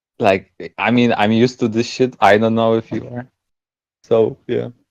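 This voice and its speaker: Speaking at a medium pitch, the man keeps a monotone, flat intonation. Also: moderate pace. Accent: non-native. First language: not English. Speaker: shuffle dancer. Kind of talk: casual chat.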